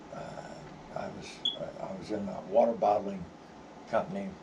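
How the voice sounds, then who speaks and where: A medium-pitched man with an American accent, with audible room echo and noticeable background noise. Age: 70s. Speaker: vlogger. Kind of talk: personal storytelling. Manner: halting, many fillers.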